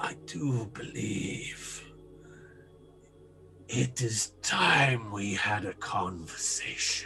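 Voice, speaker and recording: Raspy and clearly put on, this character voice moves at a very slow pace. Clear music plays in the background. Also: man, fairly low pitch for a man. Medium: actual play. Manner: formal, measured.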